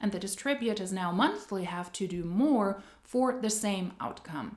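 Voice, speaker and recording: A woman speaks fairly slowly in a non-native accent, her pitch medium. Her intonation is lively. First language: not English. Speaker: anti-MLM commentary youtuber. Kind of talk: video commentary.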